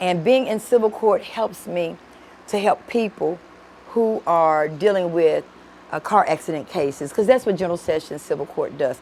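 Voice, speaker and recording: With a Memphis accent, a woman speaks at a medium pitch and a moderate pace, her intonation lively. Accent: Southern US (Memphis). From Memphis, Tennessee (US South). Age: 60s. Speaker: judge. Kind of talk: interview.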